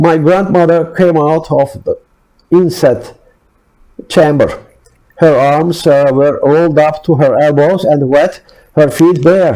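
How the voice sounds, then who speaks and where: A man speaks very slowly with a non-native accent, leaving long, frequent pauses. His tone is dark and mellow, and his loudness stays very even. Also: fairly high pitch for a man. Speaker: author reading own work. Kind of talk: read personal essay-story.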